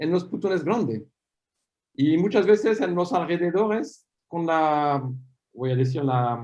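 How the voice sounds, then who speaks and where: A man's high-pitched voice with lively intonation and long, frequent pauses. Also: fairly slow pace. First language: French (speaking Spanish). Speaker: paleomagnetism scientist. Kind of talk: academic Q&A after a talk.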